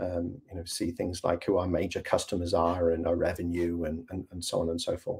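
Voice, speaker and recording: His delivery moves at a moderate pace. The man has a British accent. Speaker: software company representative. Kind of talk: video call presentation. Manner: hesitant, many fillers.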